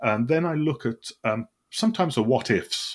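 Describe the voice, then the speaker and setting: Vocal fry from a man at a fairly slow pace on a very clean recording with a silent background. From West Midlands, England (Solihull, Birmingham). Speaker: wargamer and convention game organizer. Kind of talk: casual interview chat.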